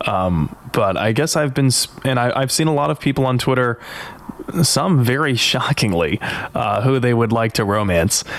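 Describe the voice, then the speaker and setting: Noticeable background noise sits behind a man speaking at a moderate pace and medium pitch. His intonation is lively and his loudness very even. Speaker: podcast co-host. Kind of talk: casual chat. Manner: laughs often.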